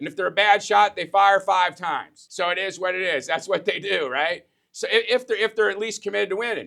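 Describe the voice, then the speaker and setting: A raised, projected voice in an American accent, bright and sharp in tone, at a fairly quick pace with hardly any pauses and ordinary pitch variation. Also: man, high pitch for a man. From US Midwest. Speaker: business coach. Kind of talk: motivational business talk. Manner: fast; animated.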